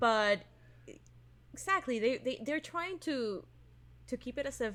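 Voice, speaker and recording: With a Spanish accent, a woman speaks at a fairly slow pace in an animated tone, her high pitch moving in very wide swings. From Venezuela. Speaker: podcast co-host. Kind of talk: casual chat.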